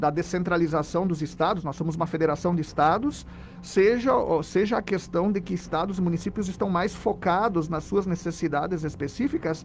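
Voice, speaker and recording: With a Rio Grande do Sul accent, a man talks in a high pitch with ordinary pitch variation. He leaves hardly any pauses. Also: moderate pace. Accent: southern Brazilian (gaúcho) accent, kept. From southern Brazil, Rio Grande do Sul. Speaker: philosophy professor. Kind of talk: radio interview.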